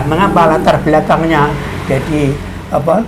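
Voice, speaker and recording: Amid noticeable background noise and audible room echo, a man with a Javanese accent speaks at a fairly high pitch. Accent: Javanese-accented Indonesian. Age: 80s+. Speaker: creator of the regional emblem, interviewee. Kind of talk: interview. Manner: halting.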